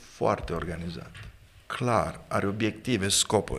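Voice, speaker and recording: His tone is bright and sharp, and his pitch fairly low. This man speaks at a fairly slow pace with lively intonation. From Romania, Galați (south-east); Romania. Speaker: pastor and author; pastor. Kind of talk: interview on leadership. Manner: formal. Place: studio. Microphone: studio mic.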